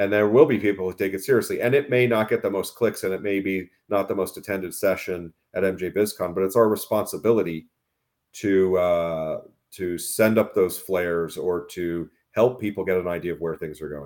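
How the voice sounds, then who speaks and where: A man with a normal speaking voice, fairly low pitch and ordinary pitch variation at a fairly quick pace, on a very clean recording with a silent background. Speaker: cannabis business media executive. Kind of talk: podcast interview.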